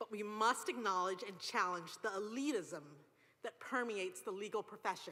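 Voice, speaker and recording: With a British accent, a woman at medium pitch uses a bright, sharp tone and ordinary pitch variation. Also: moderate pace. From England. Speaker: law graduate student speaker. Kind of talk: commencement speech.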